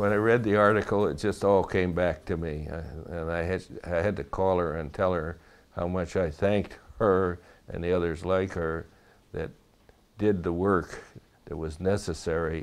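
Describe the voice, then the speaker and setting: Against a quiet background, a man with a very deep, low pitch speaks at a moderate pace with fairly even intonation and long, frequent pauses. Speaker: war veteran. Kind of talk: interview testimony.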